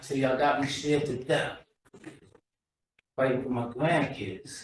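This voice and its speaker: In a room with audible echo, a man speaks somewhat breathily at a medium pitch and moderate pace, with fairly even intonation. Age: 60s. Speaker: community member. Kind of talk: public testimony.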